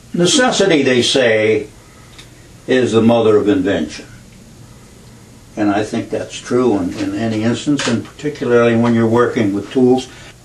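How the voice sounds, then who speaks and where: A medium-pitched man with an American accent, moderate pace, ordinary pitch variation, long and frequent pauses, and noticeable background noise. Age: 80s+. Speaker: home toolmaker. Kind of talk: tutorial demonstration.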